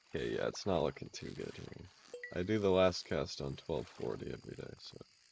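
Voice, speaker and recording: Music plays in the background as a man speaks at a fairly slow pace. His pitch is very deep and low. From Canada, Calgary. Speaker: video game streamer. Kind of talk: casual live-stream chat while gaming. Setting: live stream.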